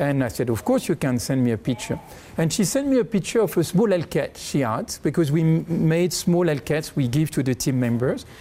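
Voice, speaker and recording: Speaking fairly quickly, a man with a slight French accent has a fairly high pitch and a dark, mellow tone. His pitch swings very widely while his loudness stays very even. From France. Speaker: bank chief executive. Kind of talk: interview.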